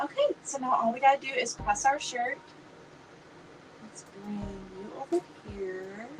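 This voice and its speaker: Against noticeable background noise, a high-pitched woman talks at a fairly slow pace with long, frequent pauses, lively intonation and big swings in loudness. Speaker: crafting livestream host. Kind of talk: casual livestream tutorial. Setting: live stream from home craft room. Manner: chatty.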